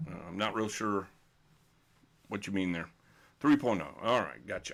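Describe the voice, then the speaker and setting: Recorded very cleanly over a silent background, a man with a Texan accent speaks with lively intonation. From Texas. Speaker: bowling coach. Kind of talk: live stream Q&A. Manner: unscripted, hesitant with fillers.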